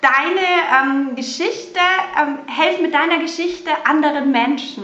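With a slight Bavarian accent, a woman uses a raised, projected voice at a high pitch, with lively intonation and a fairly slow pace, amid noticeable background noise and audible room echo. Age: 40s. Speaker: hairdresser turned mothers' coach. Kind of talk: interview.

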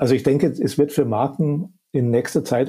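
A man's somewhat breathy voice, dark and mellow in tone, at a moderate pace. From Upper Bavaria. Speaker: media professor. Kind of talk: expert interview. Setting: remote call.

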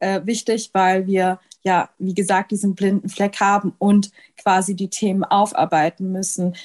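A woman with an ordinary speaking voice talks at a medium pitch and a moderate pace, her sound dry and close with no echo against a quiet background. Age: 20s. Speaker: medical student and anti-racism activist. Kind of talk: interview.

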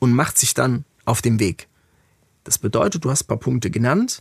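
In a dry, close sound with no echo, a man at medium pitch speaks with lively intonation and a somewhat breathy voice. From Germany, Frankfurt. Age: 40s. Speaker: music industry executive. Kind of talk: interview conversation.

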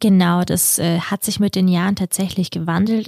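The sound is dry and close with no echo as a woman speaks at a moderate pace, her fairly low voice somewhat breathy. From Kazakhstan, then Germany from age 9. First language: Russian (speaking German). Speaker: podcast co-host. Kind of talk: casual chat.

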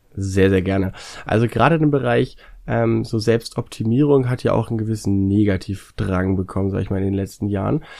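Fairly quick speech comes from a man with a dark, mellow tone. The recording is very clean, with a silent background. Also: fairly low pitch for a man, ordinary pitch variation. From northern Germany, North Sea coast. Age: 20s. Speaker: YouTuber. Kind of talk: casual interview.

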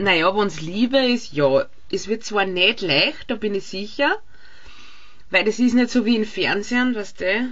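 A woman talks at a fairly slow pace in a plain, everyday voice. Her pitch sits fairly high, and her intonation is lively. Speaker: podcast co-host. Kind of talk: casual chat. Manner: laughs often.

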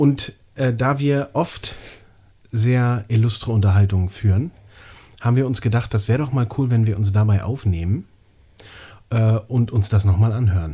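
At a moderate pace with long, frequent pauses, a man speaks in a dark, mellow, somewhat breathy tone of medium pitch and ordinary pitch variation. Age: 30s. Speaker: podcast co-host. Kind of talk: casual chat.

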